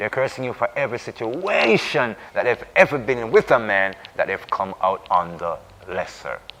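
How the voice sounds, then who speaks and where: Noticeable background noise fills the recording. Through it, a man talks with lively intonation. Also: medium pitch for a man, moderate pace. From Jamaica. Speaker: Rastafarian discussion co-host. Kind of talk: religious reasoning discussion. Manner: emphatic, repetitive.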